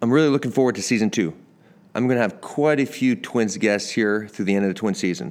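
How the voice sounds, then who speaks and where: Here a man with a Canadian accent speaks at medium pitch in a normal speaking voice, with lively intonation. The recording is very clean, with a silent background. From Canada. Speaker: podcast host, former pro baseball player. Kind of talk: casual interview; scripted podcast intro.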